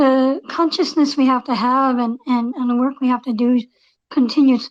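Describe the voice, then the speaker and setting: A woman speaks with an American accent at a high pitch. Her intonation is fairly even and her pace moderate. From Pennsylvania. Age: 60s. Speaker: roundtable participant. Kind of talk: casual discussion.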